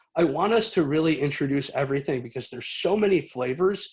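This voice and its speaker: A man's fairly quick delivery with lively intonation against a quiet background. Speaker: cheesemonger leading a tasting. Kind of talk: guided tasting presentation. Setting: video call from living room. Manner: fast.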